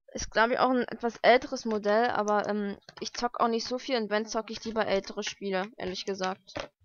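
A woman with a medium pitch talks at a fairly quick pace with fairly even intonation.

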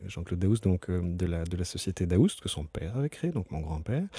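With a dark, mellow tone and lively intonation, a man speaks at a fairly quick pace in a very clean recording with a silent background. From Brussels, Belgium. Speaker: company CEO. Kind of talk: interview. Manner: halting, many fillers and repetitions.

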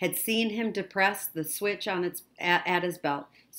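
A plain read-aloud passage.

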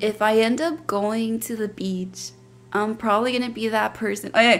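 At a moderate pace, a woman speaks with fairly even intonation. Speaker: podcast co-host. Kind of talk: casual bilingual podcast chat. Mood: cheerful, laughing. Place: home room. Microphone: studio mic.

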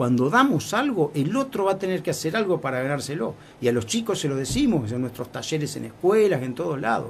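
With vocal fry, a fairly high-pitched man speaks at a fairly quick pace, his pitch swinging very widely and hardly any pauses breaking his speech. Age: 60s. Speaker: foundation president. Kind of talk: interview.

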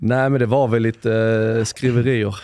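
Against a quiet background with a dry sound and no echo, a man with a fairly low pitch speaks in a monotone, flat intonation. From Sweden, Skåne (Höllviken); Skåne. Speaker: former pro footballer; podcast guest. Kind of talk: interview. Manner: hesitant, many fillers. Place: home room. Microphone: studio mic.

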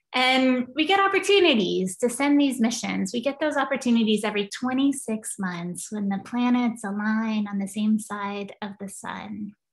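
Moderate pace, hardly any pauses, and ordinary pitch variation against a quiet background. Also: woman, fairly high pitch for a woman. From Kentucky, US. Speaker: planetary scientist, professor; professor. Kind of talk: lecture. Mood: enthusiastic, friendly. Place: home room. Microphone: video call.

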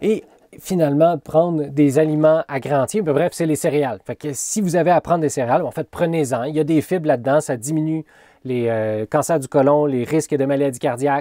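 A man speaks at a fairly quick pace. The sound is dry with no echo. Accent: Quebec. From Quebec. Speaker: college teacher. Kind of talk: lecture. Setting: recorded video lesson. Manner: animated. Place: home room. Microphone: webcam.

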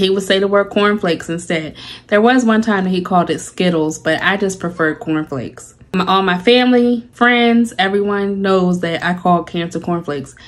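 The speaker goes at a moderate pace with ordinary pitch variation. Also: woman. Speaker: personal vlogger. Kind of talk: casual vlog chat. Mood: reflective, lightly humorous. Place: home room. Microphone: phone near.

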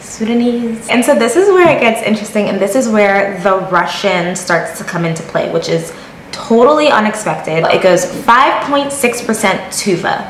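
A woman's fairly high voice with lively intonation at a moderate pace, with light background noise and audible room echo. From Connecticut, US (born in Jamaica). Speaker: YouTuber. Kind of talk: casual vlog talk to camera. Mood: playful, amused. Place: home room. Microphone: phone near.

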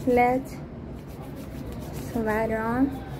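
A woman speaks very slowly at a fairly high pitch, with little pitch movement. Background noise is clearly audible.

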